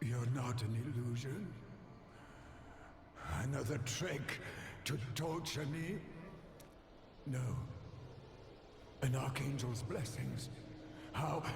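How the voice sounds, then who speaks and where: Someone in a put-on character voice with a low-to-middle pitch speaks at a fairly slow pace with long, frequent pauses, amid a slight echo and clear background noise. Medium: video game. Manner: frantic, gasping.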